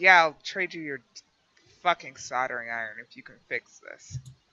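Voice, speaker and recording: A rumbling, put-on character voice speaks at a moderate pace. Its pitch varies in an ordinary way. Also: man, fairly high pitch for a man. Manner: grumbling under breath.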